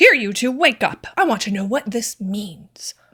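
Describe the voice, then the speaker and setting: Gruff and fairly high-pitched, a woman's put-on character voice moves at a moderate pace with lively intonation. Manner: angry, demanding.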